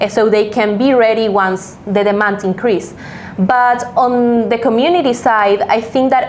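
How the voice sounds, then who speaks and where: A woman talks in a Spanish accent at a fairly high pitch. Audible room echo and noticeable background noise surround her. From Venezuela. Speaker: crypto community lead. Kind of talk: interview. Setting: studio.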